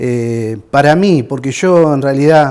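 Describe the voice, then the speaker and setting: A man is speaking. His tone is dark and mellow. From Argentina, Rosario area (Santa Fe). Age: 60s. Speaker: war veteran. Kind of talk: testimony. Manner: halting.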